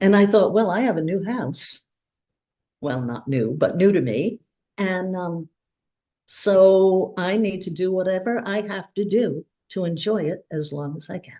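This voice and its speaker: Her tone dark and mellow, a woman of medium pitch speaks fairly slowly with lively intonation and big swings in loudness. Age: 80s. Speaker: podcast guest. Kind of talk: casual chat. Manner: halting.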